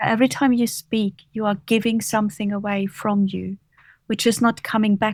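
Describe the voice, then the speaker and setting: A woman with a German accent speaks at a moderate pace in a medium pitch, calm and somewhat breathy, her intonation monotone and flat. The recording is very clean, with a silent background and a dry, close sound with no echo. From Germany, Bavaria. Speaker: author and leadership coach. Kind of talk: interview.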